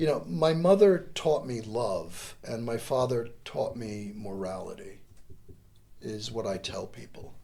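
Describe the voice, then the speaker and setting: In an American accent, the speaker goes at a fairly slow pace with a dark, mellow, somewhat breathy tone, very wide pitch swings and big shifts in loudness. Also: man, medium pitch for a man. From US Northeast, New York State and Connecticut. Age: 60s. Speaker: volunteer and lawyer, democracy course teacher. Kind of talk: casual interview chat.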